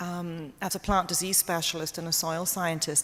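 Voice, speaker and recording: A woman speaks with a British accent at a fairly quick pace. Her pitch sits fairly low. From Britain. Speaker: medical herbalist. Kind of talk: talk to an audience. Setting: church hall with audience.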